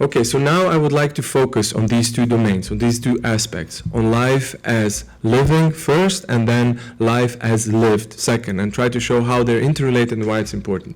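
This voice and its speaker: With a Slovene accent, a man talks with hardly any pauses, very even loudness, and ordinary pitch variation. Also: medium pitch for a man, moderate pace. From Slovenia. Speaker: philosopher. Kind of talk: lecture. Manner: hesitant, with fillers and repetitions.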